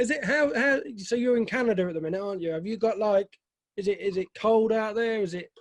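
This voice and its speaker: A man with a British accent talks at a very fast pace in a high voice, with ordinary pitch variation. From Britain. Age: 40s. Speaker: film reviewer and interviewer. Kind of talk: interview.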